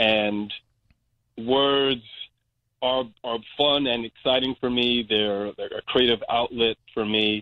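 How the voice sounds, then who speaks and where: A man with an American accent speaks at a very slow pace in a monotone, flat intonation, leaving long, frequent pauses. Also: medium pitch for a man. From Brooklyn, New York. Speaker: community organization director. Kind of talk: interview.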